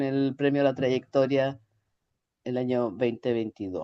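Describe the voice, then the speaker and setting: Against a quiet background, the speaker talks with a Chilean accent. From Chile, Santiago. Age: 60s. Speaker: ergonomics researcher and consultant. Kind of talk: interview. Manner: hesitant, many fillers.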